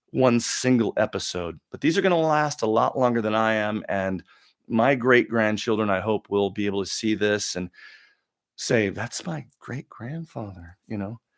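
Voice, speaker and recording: The voice moves at a moderate pace with ordinary pitch variation, on a very clean recording with a silent background and a dry, close sound with no echo. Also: man, medium pitch for a man. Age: 50s. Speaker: live-stream talk show host. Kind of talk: live Q&A rant. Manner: halting, repeats words.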